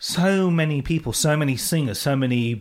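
Recorded very cleanly over a silent background, a man with a normal speaking voice talks at a fairly slow pace with lively intonation. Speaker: radio host. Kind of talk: radio interview. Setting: studio.

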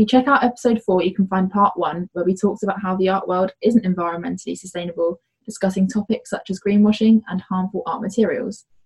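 The voice is somewhat breathy. It moves at a very fast pace. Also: woman, medium pitch for a woman, fairly even intonation, hardly any pauses. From UK. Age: young. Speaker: artist and podcast co-host. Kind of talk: scripted intro; casual chat.

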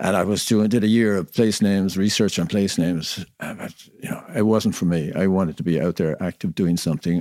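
In a dark, mellow tone, a man with an Irish accent speaks at a moderate pace, the recording very clean with a silent background and a dry, close sound with no echo. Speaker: knitwear business owner. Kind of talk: interview. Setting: on location.

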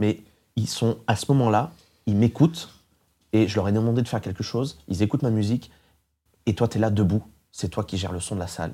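Over a silent background in a very clean recording, a man with a fairly low, dark, mellow voice talks at a fairly quick pace with ordinary pitch variation and long, frequent pauses. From France, rural. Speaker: radio host and DJ. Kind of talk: interview. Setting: studio.

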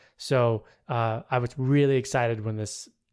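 In a very clean recording with a silent background, an unremarkable speaking voice holds a fairly even intonation. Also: man. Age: 40s. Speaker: musician and podcast guest. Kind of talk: casual chat.

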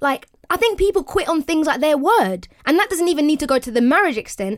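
On a very clean recording with a silent background, a woman with a British accent speaks at a fairly quick pace with very wide pitch swings. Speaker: podcast co-host. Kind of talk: casual banter podcast chat.

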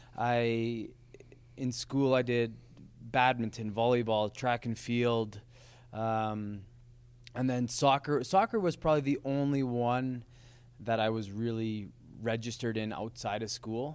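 In a very clean recording with a silent background, a man with a western Canadian accent speaks fairly slowly at a medium pitch, his intonation fairly even and his pauses long and frequent. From Lethbridge, Alberta, Canada. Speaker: professional soccer player. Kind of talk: casual chat. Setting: studio.

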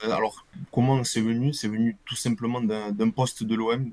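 A man's monotone, flat intonation. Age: 20s. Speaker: football supporter and jersey collector. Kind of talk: casual interview. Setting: live video stream. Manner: casual, hesitant with fillers.

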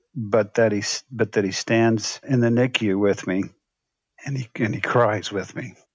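A man's plain, everyday voice at a medium pitch, fairly slow pace and fairly even intonation. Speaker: former pastor and author. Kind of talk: interview.

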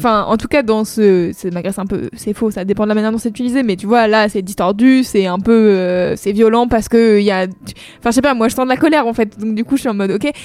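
Animated and very fast, a woman talks at a fairly high pitch. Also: ordinary pitch variation. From France, Saint-Nazaire. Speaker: music podcast co-host. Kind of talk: casual chat.

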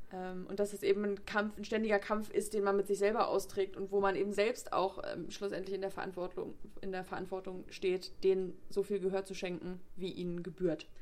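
The delivery comes at a fairly quick pace in monotone, flat intonation. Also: woman, medium pitch for a woman. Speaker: literature podcast co-host. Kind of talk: casual chat.

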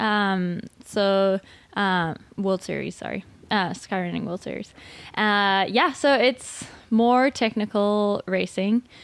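Speaking very slowly at a medium pitch, a woman is heard on a very clean recording with a silent background. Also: fairly even intonation. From Zimbabwe. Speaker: trail runner. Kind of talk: interview. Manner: hesitant, many ums.

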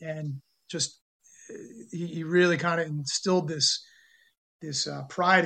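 In a monotone, flat intonation, a man speaks at a high pitch. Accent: American. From New York City area and northern New Jersey. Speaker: amateur sports club founder. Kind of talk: interview.

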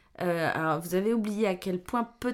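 A woman speaks in an ordinary speaking voice at medium pitch with ordinary pitch variation. The recording is very clean, with a silent background. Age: 50s. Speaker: podcast guest, mother of a host. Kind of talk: casual chat.

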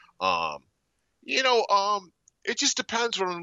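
A man speaks with vocal fry. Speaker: sports betting guest. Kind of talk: casual sports betting talk. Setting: phone call.

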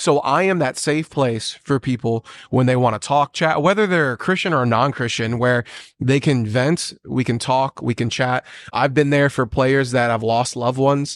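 A man at medium pitch with ordinary pitch variation, moderate pace and very even loudness, recorded dry and close with no echo against a quiet background. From US military family, moved around. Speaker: pastor and bartender. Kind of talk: casual chat. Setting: coffee shop recording. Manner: animated.

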